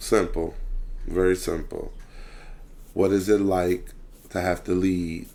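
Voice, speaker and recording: Here a man talks at a very slow pace. His pauses are long and frequent. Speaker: youth football coach. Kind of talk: casual chat. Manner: loud.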